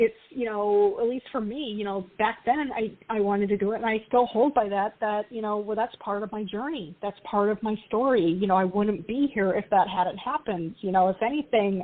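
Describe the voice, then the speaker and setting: A woman with a plain, everyday voice speaks at a moderate pace with hardly any pauses, her fairly high pitch showing ordinary variation. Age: 40s. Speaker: tarot author. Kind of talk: casual chat.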